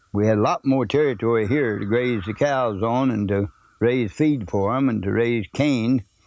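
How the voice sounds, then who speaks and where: With an Ozark accent, a man speaks at a moderate pace in a medium pitch. His pitch variation is ordinary, and the background is quiet. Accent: rural Ozark. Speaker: oral history narrator. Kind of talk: oral history interview. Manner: plain, folksy recollection.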